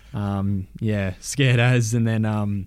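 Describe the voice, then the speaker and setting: Flat, monotone intonation marks a man's dark, mellow tone. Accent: Australian. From Shepparton, Victoria. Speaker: footballer. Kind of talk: casual chat.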